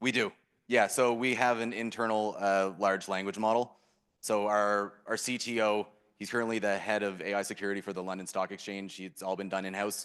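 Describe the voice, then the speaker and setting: A man with a Canadian accent speaks fairly quickly in a fairly low, monotone voice with flat intonation. The background is quiet. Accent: Canadian, apparent. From Canada. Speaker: startup founder. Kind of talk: Q&A interview on stage.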